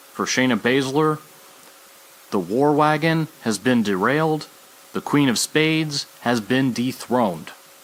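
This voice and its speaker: Keeping his loudness very even, a man talks at a fairly slow pace and medium pitch with ordinary pitch variation. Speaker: wrestling podcast host. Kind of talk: solo podcast commentary. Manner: animated.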